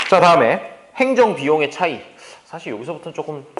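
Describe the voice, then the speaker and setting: A man rattles along very fast, his words carrying audible room echo and noticeable background noise. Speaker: economics lecturer. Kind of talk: lecture.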